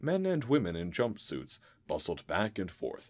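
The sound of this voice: Unforced voice reading aloud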